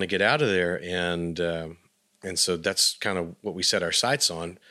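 A man with a Texan accent, very deep, low pitch and a bright, sharp tone, on a very clean recording with a silent background. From West Texas, Abilene. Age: 40s. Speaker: musician. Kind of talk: interview.

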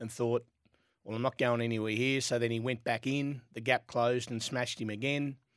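In an Australian accent, a man with a medium-pitched voice speaks fairly quickly in a flat monotone on a very clean recording with a silent background. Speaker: jockey. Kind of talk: radio sports panel chat.

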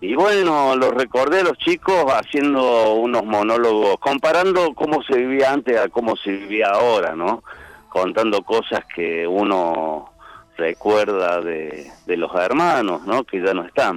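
A man at a medium pitch with very wide pitch swings, a fairly slow pace, and noticeable background noise. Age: 60s. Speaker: comedian and Malvinas war veteran. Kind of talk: casual chat.

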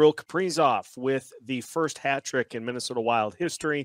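A man's normal speaking voice at medium pitch and a moderate pace, with ordinary pitch variation, dry and close with no echo, on a very clean recording with a silent background. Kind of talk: game recap. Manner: upbeat, conversational, checklist-style.

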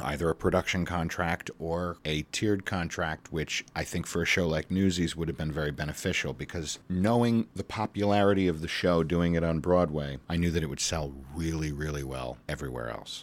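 Very deep and low in pitch, a man speaks at a moderate pace with hardly any pauses and ordinary pitch variation, in a very clean recording with a silent background. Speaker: Broadway actor. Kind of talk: interview.

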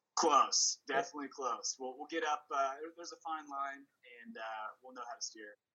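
A fairly high-pitched man talks at a fairly quick pace. His loudness swings widely while his pitch varies in an ordinary way. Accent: Midwestern American. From Kansas City, Kansas. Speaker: college football fan. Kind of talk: casual chat. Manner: halting, many fillers.

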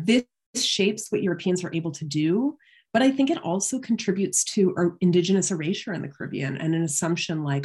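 A woman's somewhat breathy, fairly low voice with a Canadian accent, lively intonation and a fairly quick pace, over a quiet background. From Canada (London, Ontario). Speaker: history professor. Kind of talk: academic interview.

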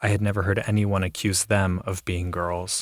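Recorded very cleanly against a silent background, a man with an American accent speaks at a fairly low pitch in a flat monotone, the sound dry and close with no echo. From Ohio. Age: adult. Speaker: storyteller. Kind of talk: scripted narration.

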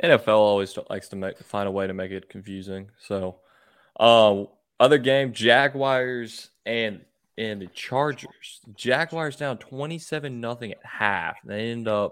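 A fairly slow pace with a Southern US accent. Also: man, very clean recording, silent background. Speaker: sports podcast host. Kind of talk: casual chat.

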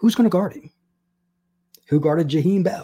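A man speaks in a dark, mellow tone that is somewhat breathy, and his pitch swings very widely. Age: 50s. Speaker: sports podcast host. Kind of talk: solo sports analysis podcast.

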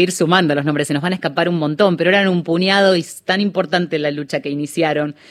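A woman speaks in a normal speaking voice. Her pitch is fairly low and her intonation fairly even. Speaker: radio host. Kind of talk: radio interview.

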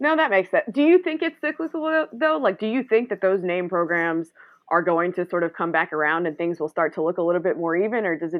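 This is a normal speaking voice with an American accent. It moves at a fairly quick pace with ordinary pitch variation. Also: woman. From North Carolina, Greensboro. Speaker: sports journalist, podcast host. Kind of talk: casual chat.

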